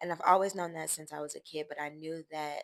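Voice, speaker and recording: Over a silent background in a very clean recording, a woman speaks in a monotone, flat intonation with a very deep, low pitch. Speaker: lifestyle vlogger. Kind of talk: casual personal talk to camera. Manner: hesitant, many fillers.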